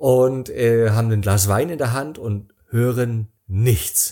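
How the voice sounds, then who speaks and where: A man's dark, mellow voice at medium pitch. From East Germany, Rostock. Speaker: travel speaker and author. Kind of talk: casual interview. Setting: remote call.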